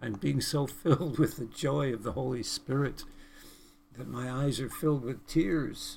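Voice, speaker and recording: Using vocal fry, a man talks at a fairly slow pace with ordinary pitch variation. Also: medium pitch for a man. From British Columbia, Canada. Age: 70s. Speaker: preacher. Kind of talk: sermon. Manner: earnest, preaching.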